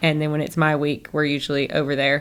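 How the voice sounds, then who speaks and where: Speaking at a fairly quick pace, a woman with a Southern US accent has a very deep, low pitch. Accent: acquired southern. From northern Michigan. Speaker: chiropractor. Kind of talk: interview conversation.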